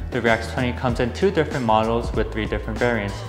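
A man is speaking. Music plays clearly in the background. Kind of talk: product presentation. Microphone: lapel.

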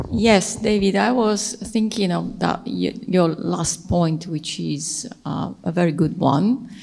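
A woman talks at a very slow pace with hardly any pauses and ordinary pitch variation. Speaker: speaker. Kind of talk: panel discussion reply. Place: hall.

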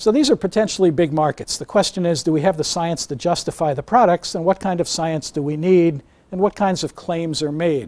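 A man with an American accent speaks at a moderate pace in a plain, everyday voice. The recording is very clean with a silent background, dry and close with no echo. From New York. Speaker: neuroscience professor. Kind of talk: lecture.

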